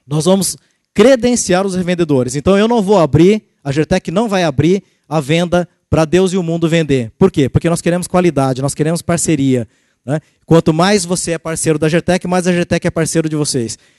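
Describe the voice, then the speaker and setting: Dry and close with no echo, a man's high voice has a dark, mellow tone. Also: ordinary pitch variation. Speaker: sales executive. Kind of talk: sales presentation. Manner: fast.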